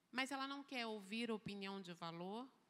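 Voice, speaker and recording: Speaking at a fairly slow pace, a woman with a fairly high pitch uses lively intonation and a bright, sharp tone. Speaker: church speaker. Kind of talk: lecture.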